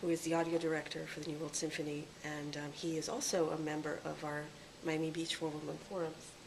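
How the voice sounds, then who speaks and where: In a very deep, low pitch and a monotone, flat intonation, a woman talks at a fairly quick pace, with audible room echo and noticeable background noise. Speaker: interviewer. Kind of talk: on-site interview.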